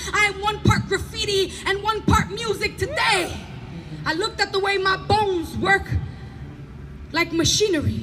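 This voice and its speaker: The voice is loud and moves at a moderate pace. Noticeable background noise runs underneath it. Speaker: performance poet. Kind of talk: spoken word poetry performance. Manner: animated.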